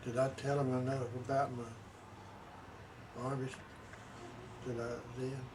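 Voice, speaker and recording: A man with a Southern US accent and medium pitch speaks at a moderate pace in a flat monotone, with long, frequent pauses, audible room echo and noticeable background noise. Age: 80s+. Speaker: war veteran. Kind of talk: interview. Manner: halting.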